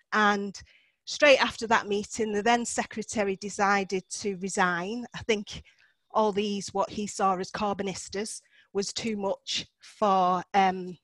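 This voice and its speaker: A woman with a Manchester accent speaks at a fairly slow pace, her pitch medium and her intonation fairly even. The recording is very clean, with a silent background. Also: dry, close sound with no echo. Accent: north Manchester. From Cheetham Hill, north Manchester, England. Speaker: local councillor. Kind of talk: seminar talk. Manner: casual, frequent filler ums.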